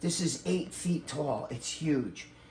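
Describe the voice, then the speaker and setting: Against noticeable background noise, a man talks with lively intonation at a fairly high pitch. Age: 60s. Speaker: bodybuilder. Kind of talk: casual chat, house tour. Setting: at home.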